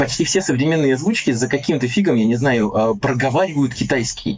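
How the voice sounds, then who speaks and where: This voice moves at a very fast pace, its pitch swinging very widely. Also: man. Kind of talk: casual chat. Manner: animated.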